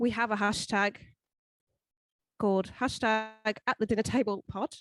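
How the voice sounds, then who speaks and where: A woman with an English accent speaks at a moderate pace in a fairly high, monotone, flat voice with very even loudness. The sound is dry and close, with no echo. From England. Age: 20s. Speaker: podcast co-host. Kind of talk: casual chat.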